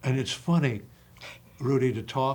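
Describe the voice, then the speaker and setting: A man is speaking. His voice is somewhat breathy. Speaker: acting coach. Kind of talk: casual chat. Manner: animated.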